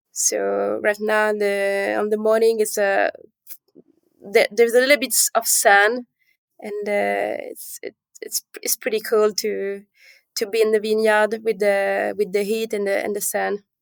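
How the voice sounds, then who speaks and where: A fairly slow voice with a French accent, dry and close with no echo. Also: woman. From Calabria and Paris. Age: young. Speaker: winemaker. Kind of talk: interview. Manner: halting.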